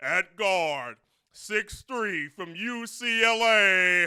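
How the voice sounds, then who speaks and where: A man puts on a character voice, high in pitch and delivered at a very slow pace. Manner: booming announcer delivery.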